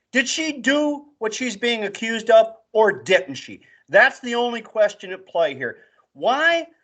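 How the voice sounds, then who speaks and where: Speaking at a fairly slow pace, a man uses an extremely high pitch with a bright, sharp tone and lively intonation. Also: quiet background. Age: 60s. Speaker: political commentary co-host. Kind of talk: casual political chat. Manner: emphatic, forceful.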